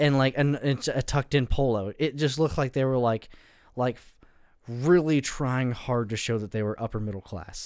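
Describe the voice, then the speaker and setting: This is a man with a medium pitch. His pace is moderate. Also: ordinary pitch variation. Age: 20s. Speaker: podcast co-host. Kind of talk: casual chat. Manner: halting.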